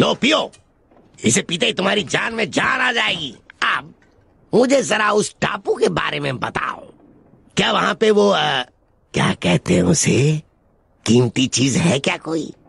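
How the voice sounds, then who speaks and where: A man puts on a high-pitched character voice. He leaves long, frequent pauses. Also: moderate pace. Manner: gruff, scheming.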